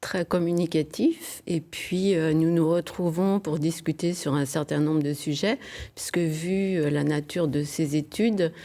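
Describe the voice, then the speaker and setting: A woman with a dark, mellow tone speaks at a fairly low pitch and a fairly slow pace, with fairly even intonation and very even loudness. The recording is very clean and the background silent. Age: 70s. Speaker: retiree hosting a student. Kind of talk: TV interview. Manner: hesitant.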